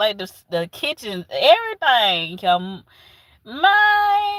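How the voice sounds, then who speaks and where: A woman in a Southern US accent, with very wide pitch swings. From US South. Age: 40s. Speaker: livestreamer. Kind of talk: casual chat. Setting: livestream.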